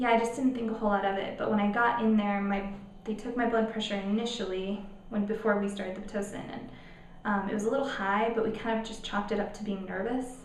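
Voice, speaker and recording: A woman with a fairly high pitch races along at a very fast pace in monotone, flat intonation over noticeable background noise. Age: 20s. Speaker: teacher, mother vlogger. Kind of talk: casual talk to camera.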